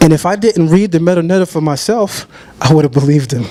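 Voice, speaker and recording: Noticeable background noise sits behind a man with an American accent. His pitch is fairly high, with ordinary variation. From Brooklyn, New York. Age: 30s. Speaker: debater on religion. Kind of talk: debate presentation.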